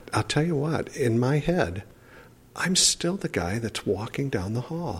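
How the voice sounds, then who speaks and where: A man speaks at a fairly slow pace in a somewhat breathy voice. His pitch swings very widely. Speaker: professor living with ALS. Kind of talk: interview.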